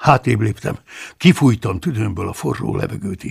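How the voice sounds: The clip features a natural reading voice with lively intonation.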